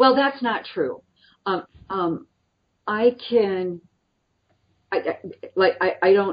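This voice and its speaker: A woman at medium pitch with a Midwestern US accent, very slow pace, long, frequent pauses and lively intonation. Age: 60s. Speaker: nonprofit president. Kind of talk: interview.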